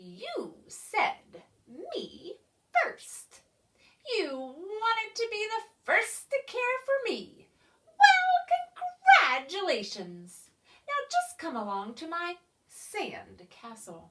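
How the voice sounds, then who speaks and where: Putting on a character voice, a woman speaks very slowly in a squeaky, cackling, extremely high pitch, with long, frequent pauses. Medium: read story. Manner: cackling, bossy.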